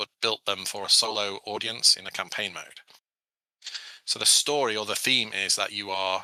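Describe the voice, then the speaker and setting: Recorded dry and close with no echo, a man with a British accent speaks at a moderate pace in a bright, sharp tone at a fairly low pitch. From England, Sheffield area. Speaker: board game designer. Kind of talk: podcast interview.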